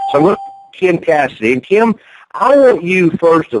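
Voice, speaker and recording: A man in a Southern US accent swings his pitch very widely, recorded with a dry, close sound and no echo. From North Carolina. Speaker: network marketing promoter. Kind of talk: conference call sales pitch. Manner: animated.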